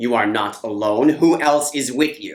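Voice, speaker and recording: This is a put-on character voice in a low-to-middle pitch. The pace is moderate. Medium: solo performance. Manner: menacing.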